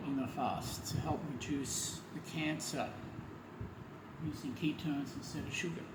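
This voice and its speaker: The man talks at a fairly slow pace. There is noticeable background noise and audible room echo. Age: 70s. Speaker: health vlogger. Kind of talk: video diary monologue.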